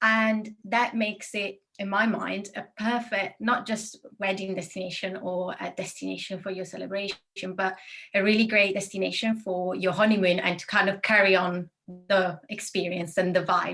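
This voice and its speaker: In an Italian accent, a woman speaks at a moderate pace with a medium pitch. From Italy. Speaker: destination wedding planner. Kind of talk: interview.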